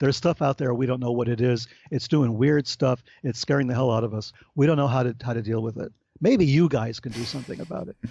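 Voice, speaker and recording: The man's delivery is very fast, and his pitch variation is ordinary. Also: medium pitch for a man. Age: 60s. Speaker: author and researcher on UFO phenomena. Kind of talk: interview conversation. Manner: animated.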